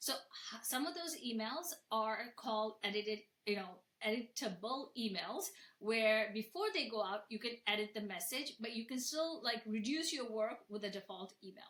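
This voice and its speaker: A woman with a non-native accent speaks at a fairly high pitch with lively intonation. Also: moderate pace. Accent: noticeable non-native. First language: not English. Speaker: software founder and florist. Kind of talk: webinar presentation. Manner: casual, conversational with fillers.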